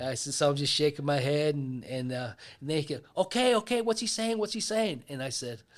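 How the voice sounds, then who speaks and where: Fairly quick speech in a Pittsburgh accent swings very widely in pitch. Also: man, fairly high pitch for a man. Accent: Pittsburgh American English. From US Northeast, Pittsburgh. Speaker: retired law enforcement officer. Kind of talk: storytelling in casual interview.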